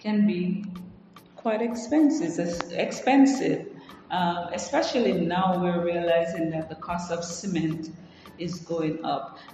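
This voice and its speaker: In a room with audible echo and noticeable background noise, a woman at medium pitch talks very slowly with lively intonation. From Jamaica. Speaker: podcast host. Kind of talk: solo podcast monologue. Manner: hesitant, many fillers.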